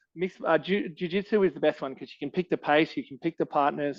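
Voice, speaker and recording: With an Australian accent, a man speaks very fast and with ordinary pitch variation. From Australia, Canberra. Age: 30s. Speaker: martial arts coach and fighter. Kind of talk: podcast interview.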